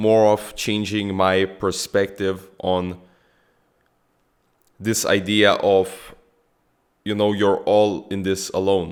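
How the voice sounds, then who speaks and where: Long, frequent pauses break up a man's very slow speech, delivered at a fairly low pitch with monotone, flat intonation. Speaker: self-improvement vlogger. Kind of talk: casual vlog monologue. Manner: halting.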